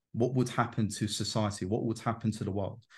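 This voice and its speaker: Against a quiet background, a man's somewhat breathy voice keeps a fairly even intonation. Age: 20s. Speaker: self-development coach on Jungian psychology. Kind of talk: casual interview chat.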